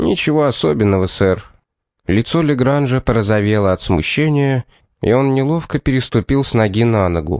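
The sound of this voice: Heard against a quiet background, this is an unforced reading voice. The intonation is lively.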